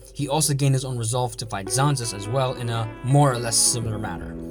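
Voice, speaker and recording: Music plays in the background as a man talks at a fairly quick pace. His pitch is medium, with ordinary pitch variation. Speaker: anime analysis youtuber. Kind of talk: video essay narration.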